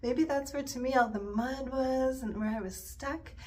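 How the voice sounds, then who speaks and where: Audible room echo surrounds the voice. The speech moves at a moderate pace. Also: woman. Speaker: yoga instructor. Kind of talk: casual chat. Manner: soft-spoken.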